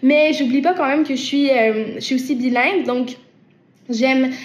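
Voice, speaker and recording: A woman with a Quebec accent speaks at a moderate pace and high pitch with fairly even intonation, over noticeable background noise. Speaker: singer-songwriter. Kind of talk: interview answering viewer questions. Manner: hesitant, many repetitions and fillers.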